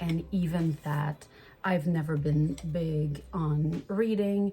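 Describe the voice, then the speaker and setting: A woman with a Quebec accent speaks very slowly at a very deep, low pitch, her intonation fairly even. Her tone is dark and mellow, and somewhat breathy. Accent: Québécois French accent in English. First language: French. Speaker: vlogger. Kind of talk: casual vlog chat.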